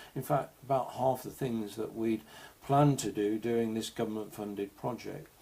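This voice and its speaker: A man's medium-pitched voice with a dark, mellow tone and an English accent, fairly even intonation and a moderate pace. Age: 60s. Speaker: digital health advocate and author. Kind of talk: presentation.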